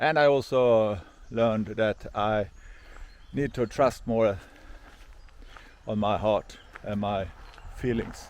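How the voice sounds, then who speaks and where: Speaking very slowly with long, frequent pauses, a man with a Swedish accent uses a fairly low pitch and ordinary pitch variation. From Sweden. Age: 50s. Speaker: hiker vlogger. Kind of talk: vlog monologue. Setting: outdoors. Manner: halting.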